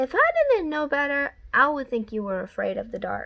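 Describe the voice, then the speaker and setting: A woman uses a put-on character voice, high in pitch and calm, gentle in tone. She speaks at a moderate pace. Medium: read story.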